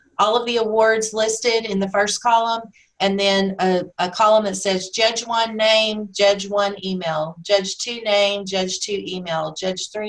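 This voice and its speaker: Speaking fairly slowly with fairly even intonation, a woman uses a normal speaking voice at a medium pitch. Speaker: national member recognition chair presenting a webinar. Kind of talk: webinar presentation with Q&A. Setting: webinar.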